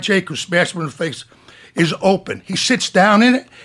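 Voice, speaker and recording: A man speaks in a high pitch with ordinary variation. His tone is bright and sharp. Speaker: retired police officer. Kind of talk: storytelling. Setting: studio. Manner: animated.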